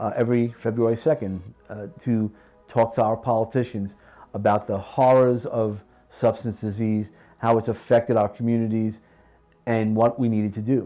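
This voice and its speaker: A man with a slight New York accent and a dark, mellow tone, medium in pitch, monotone and flat, at a moderate pace. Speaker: podcast host and executive trainer. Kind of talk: interview conversation.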